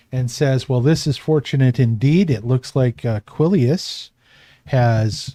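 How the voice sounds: In a natural reading voice, the speaker's pitch moves up and down in an ordinary way.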